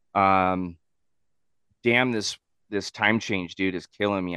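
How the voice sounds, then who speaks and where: Recorded dry and close with no echo against a quiet background, a man with an American accent has a bright, sharp tone and fairly even intonation. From Southern California. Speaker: podcast co-host and cook. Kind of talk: casual chat. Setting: video call. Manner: laughs a lot.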